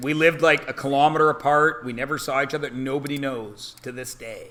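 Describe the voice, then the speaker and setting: A man with a Canadian accent speaks in an animated way at a fairly quick pace. His fairly high voice has a bright, sharp tone. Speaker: math teacher. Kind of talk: classroom talk. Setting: classroom.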